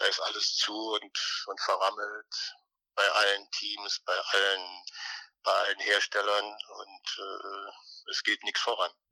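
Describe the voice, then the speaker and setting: The recording is dry and close with no echo as a man speaks at a very slow pace. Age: 60s. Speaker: former racing driver. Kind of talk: interview. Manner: halting, many repetitions and fillers.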